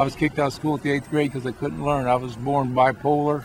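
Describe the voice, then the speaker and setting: A man's fairly high voice at a fairly quick pace, with noticeable background noise. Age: 60s. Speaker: street preacher. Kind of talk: casual chat. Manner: halting.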